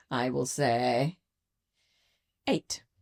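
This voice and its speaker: Using a put-on character voice, a man speaks raspily at a medium pitch, the sound dry and close with no echo. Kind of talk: posh, refined, put-on polite.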